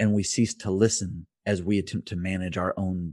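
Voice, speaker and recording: A man with an American accent speaks in a very deep, low pitch with ordinary pitch variation. The sound is dry and close with no echo, over a quiet background. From US Midwest (rural Indiana). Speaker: pastor. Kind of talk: casual interview.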